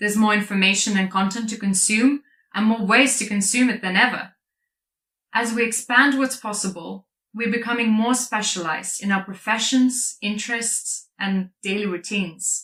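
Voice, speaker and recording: The voice has a bright, sharp tone and a Lithuanian accent. Its intonation stays fairly even. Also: woman, fairly high pitch for a woman, moderate pace. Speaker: product marketer and speaker. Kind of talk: conference talk.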